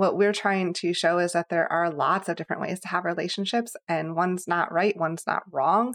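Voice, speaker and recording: A woman's normal speaking voice, fairly low in pitch with ordinary variation, at a fairly quick pace, in a dry, close sound with no echo. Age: 30s. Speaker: podcast co-host guest. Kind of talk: casual chat.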